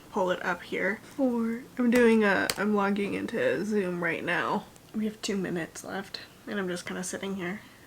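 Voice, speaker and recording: A woman speaks at a moderate pace and medium pitch, her intonation fairly even, with noticeable background noise behind her. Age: young. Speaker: lifestyle vlogger. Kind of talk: casual vlog. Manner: rambling, casual with fillers.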